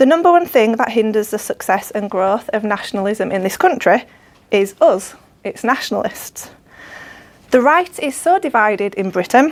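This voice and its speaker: A woman with a Yorkshire accent speaks at a moderate pace, her fairly high voice making very wide pitch swings. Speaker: political activist. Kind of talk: speech. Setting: dinner event with audience.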